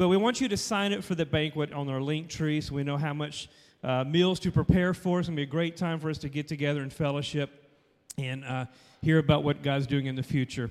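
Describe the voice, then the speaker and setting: Talking at a fairly quick pace, a man uses a plain, everyday voice with a fairly high pitch and ordinary pitch variation. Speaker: church announcer. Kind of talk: casual announcements. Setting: church.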